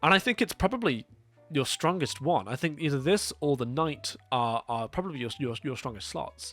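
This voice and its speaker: A man's fairly high voice at a very fast pace with very wide pitch swings, music in the background. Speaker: demo reel producer. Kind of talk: casual review talk to camera.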